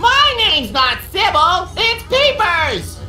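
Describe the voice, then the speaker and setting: Over clear background music, a put-on character voice at an extremely high pitch speaks at a fairly slow pace. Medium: machinima.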